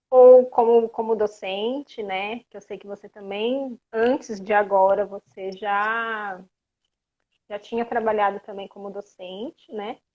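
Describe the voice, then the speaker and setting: Speaking at a very slow pace, a woman with a fairly high voice sounds dry and close with no echo against a quiet background. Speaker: physiotherapist. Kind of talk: live stream interview.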